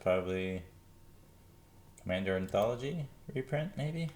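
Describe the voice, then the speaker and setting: Intonation is lively as the man speaks. He keeps a moderate pace. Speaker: trading card seller. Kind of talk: tutorial. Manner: casual, halting with fillers.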